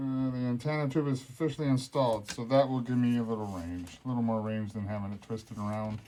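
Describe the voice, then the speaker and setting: The man talks at a very fast pace with hardly any pauses, his medium-pitched voice dark and mellow with ordinary pitch variation. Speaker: RC hobby video maker. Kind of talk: casual build tutorial. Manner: mumbling.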